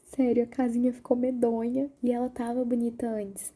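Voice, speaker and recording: The voice is soft-spoken. Its intonation is monotone and flat. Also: woman. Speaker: university student. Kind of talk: ASMR soft-spoken personal talk to camera.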